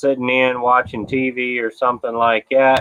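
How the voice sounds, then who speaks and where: Here a man talks at a fairly slow pace with an American accent. His intonation is monotone and flat. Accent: Southern US accent, people tease how he talks. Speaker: livestreamer. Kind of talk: casual chat. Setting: outdoors. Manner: relaxed, chatty. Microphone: laptop webcam with noise cancellation.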